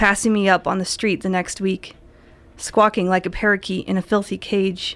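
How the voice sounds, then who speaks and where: Her intonation monotone and flat, a woman with an American accent speaks at a medium pitch. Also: very clean recording, silent background. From US Midwest. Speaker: poet. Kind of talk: poetry reading. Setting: radio studio.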